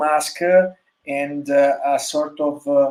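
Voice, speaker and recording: In an Italian accent, a man with a fairly high pitch speaks at a very slow pace. His intonation is monotone and flat. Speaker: motorcycle designer. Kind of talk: interview. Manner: halting, many fillers.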